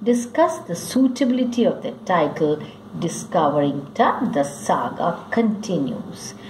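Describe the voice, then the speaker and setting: Noticeable background noise and audible room echo surround a woman whose pitch makes very wide swings. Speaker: school English teacher. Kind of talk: lecture. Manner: slow, dictating pace.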